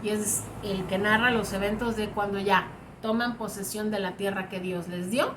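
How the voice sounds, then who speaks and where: In a room with audible echo, a woman speaks at a fairly slow pace, her fairly high voice bright and sharp in tone. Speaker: Bible teacher. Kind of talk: online class lecture.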